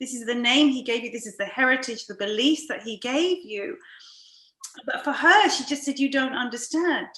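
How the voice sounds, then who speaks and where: A woman's raised, projected voice in a British accent, high-pitched and lively in intonation, at a moderate pace over noticeable background noise. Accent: very British. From London, England. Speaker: podcast host and coach. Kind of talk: interview.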